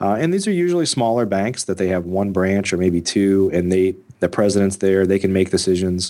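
A man with an unremarkable speaking voice, fairly low in pitch, talking at a fairly quick pace with hardly any pauses and fairly even intonation, in a very clean recording with a silent background. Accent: American. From US Midwest. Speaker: real estate investor and podcast host. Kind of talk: interview.

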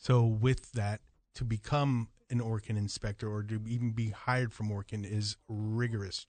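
The man speaks at a moderate pace with fairly low pitch. His intonation is monotone and flat, and the sound is dry and close with no echo. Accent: American. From Jamaica. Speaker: pest control company representative. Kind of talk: casual radio interview. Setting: radio studio.

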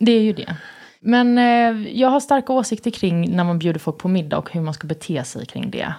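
Her medium-pitched voice has a dark, mellow tone and very wide pitch swings as the woman speaks at a moderate pace over a very clean recording with a silent background. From Värnamo, Småland, Sweden. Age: 30s. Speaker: TV host and journalist. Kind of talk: casual interview chat.

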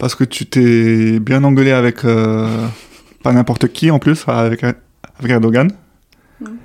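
Pausing long and often, a man speaks at a very slow pace and medium pitch with fairly even intonation. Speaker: podcast host. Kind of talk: interview. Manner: halting.

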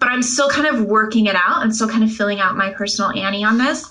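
Amid noticeable background noise, a woman with a fairly high voice speaks at a very fast pace with ordinary pitch variation. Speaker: podcast co-host discussing literature. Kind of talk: casual intellectual conversation.

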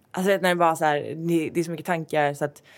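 A woman speaks in a very deep, low voice with flat, monotone intonation, recorded very cleanly against a silent background. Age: 20s. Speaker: fashion editor and blogger. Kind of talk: interview. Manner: fast.

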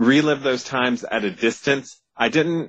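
With a plain, everyday voice, a man at a fairly high pitch speaks at a moderate pace with lively intonation. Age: 40s. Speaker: horror author. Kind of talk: interview.

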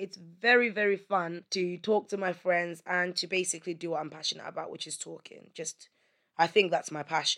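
A woman has a normal speaking voice at medium pitch with fairly even intonation. She talks at a fairly quick pace against a quiet background. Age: 30s. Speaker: podcast host. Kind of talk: solo monologue.

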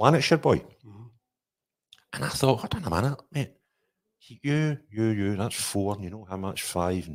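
A man with a west of Scotland accent speaks at a moderate pace in a fairly low pitch, with lively intonation, big swings in loudness, and long, frequent pauses. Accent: Scottish (west of Scotland). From Scotland, Renfrewshire (Paisley). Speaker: podcast host, youth football coach. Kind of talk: casual interview.

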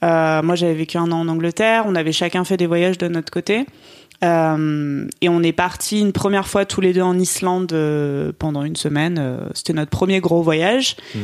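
The speaker goes at a moderate pace. It is a normal speaking voice. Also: woman. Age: 20s. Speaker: journalism graduate. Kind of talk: interview.

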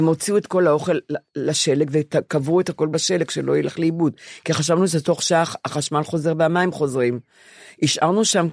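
A woman's very deep, low-pitched voice at a moderate pace, very even in loudness, with fairly even intonation, a dry, close sound with no echo, and a very clean recording over a silent background. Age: 70s. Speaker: podcast co-host. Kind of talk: casual chat.

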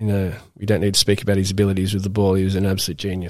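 A man with an Australian accent, fairly low-pitched, very fast and monotone with flat intonation, on a very clean recording against a silent background. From Australia, Newcastle NSW. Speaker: professional cricketer. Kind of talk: casual interview. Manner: hesitant, many fillers.

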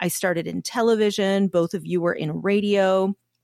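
A woman's normal speaking voice in a Canadian accent, medium in pitch with fairly even intonation and a fairly slow pace, on a very clean recording with a silent background. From Canada. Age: 40s. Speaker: podcast host. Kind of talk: casual chat.

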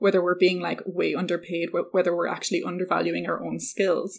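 A woman's medium-pitched voice with an Irish accent and vocal fry, in a very clean recording with a silent background. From rural west of Ireland. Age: 30s. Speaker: entrepreneur. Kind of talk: casual interview.

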